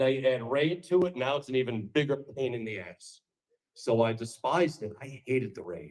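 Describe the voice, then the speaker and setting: This voice has very wide pitch swings and vocal fry, with a New York accent. The pace is moderate. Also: man. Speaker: political speaker. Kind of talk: campaign speech. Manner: animated.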